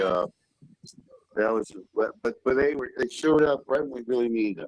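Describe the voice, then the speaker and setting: With a Southern US accent, the speaker talks at a moderate pace in a dry, close sound with no echo. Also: man. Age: 50s. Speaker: caller. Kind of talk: live call-in story. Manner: halting.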